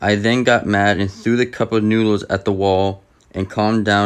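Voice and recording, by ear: The voice sounds natural. Its owner is reading aloud.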